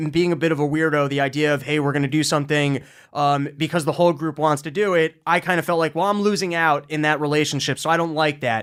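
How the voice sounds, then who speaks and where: Very fast speech from a man at a fairly high pitch, on a very clean recording with a silent background. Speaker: podcast host. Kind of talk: casual chat.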